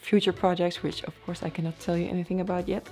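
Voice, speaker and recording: A woman with a Dutch accent speaks at a fairly low pitch. Music plays in the background. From Netherlands. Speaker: airline pilot and YouTuber. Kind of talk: Q&A vlog.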